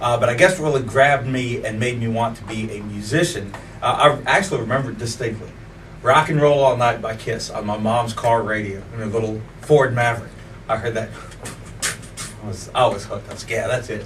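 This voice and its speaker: Speaking at a fairly quick pace in an American accent, a man at medium pitch shows ordinary pitch variation and big swings in loudness, with audible room echo and noticeable background noise. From Virginia, Colonial Heights area. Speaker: musician, bass player and singer. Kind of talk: interview. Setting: studio.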